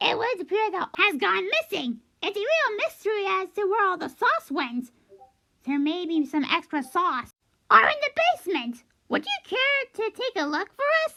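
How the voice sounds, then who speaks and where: Using a put-on character voice, the speaker talks at a moderate pace in an extremely high pitch that swings very widely. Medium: read story. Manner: chatty, matter-of-fact.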